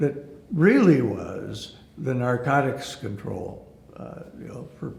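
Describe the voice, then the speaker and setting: Someone with an Upper Midwest accent speaks at a very slow pace with lively intonation, against noticeable background noise. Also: man. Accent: Upper Midwest American. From Aberdeen, South Dakota. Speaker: attorney and former hotel CEO. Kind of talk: oral history interview answer.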